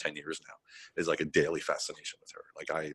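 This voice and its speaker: This is a man speaking. He has an American accent. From United States. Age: 50s. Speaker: veteran business consultant. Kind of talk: podcast interview. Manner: casual, halting.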